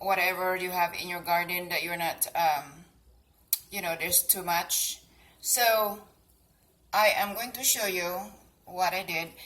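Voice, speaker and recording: A woman speaks in a Cebuano accent at medium pitch, her tone bright and sharp. Her intonation stays fairly even, broken by long, frequent pauses. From Philippines, Cebu. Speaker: gardening and cooking vlogger. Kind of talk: casual tutorial. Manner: hesitant, many fillers.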